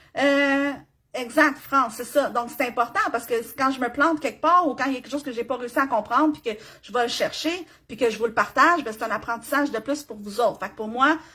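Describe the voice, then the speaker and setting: A woman's high, bright, sharp voice with a Quebec accent, animated and raised to project, at a fairly quick pace, with ordinary pitch variation and big swings in loudness. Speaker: business coach. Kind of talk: live stream tutorial. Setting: live video stream.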